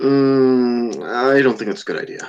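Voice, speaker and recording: A man uses a put-on character voice at medium pitch. He speaks at a moderate pace. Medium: actual play.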